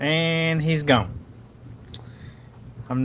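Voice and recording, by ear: A man talks with a fairly bright tone and ordinary pitch variation.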